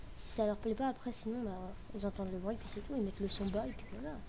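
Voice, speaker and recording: A woman with a fairly high pitch talks in a room with audible echo. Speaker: gaming youtuber. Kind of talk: gameplay commentary.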